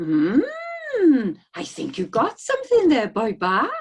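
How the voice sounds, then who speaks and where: Pitched high, a put-on character voice speaks at a fairly slow pace. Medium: read story. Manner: mild, homely.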